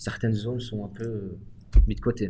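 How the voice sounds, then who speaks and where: This man's voice is fairly low, somewhat breathy and dark and mellow in tone. He speaks at a moderate pace with monotone, flat intonation. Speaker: podcast moderator, prison workshop participant. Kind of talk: moderated discussion.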